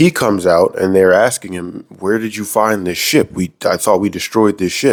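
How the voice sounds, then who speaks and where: With an ordinary speaking voice, a man talks at a moderate pace. He uses ordinary pitch variation and hardly any pauses. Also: fairly low pitch for a man. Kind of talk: casual episode recap commentary. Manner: comedic, conversational.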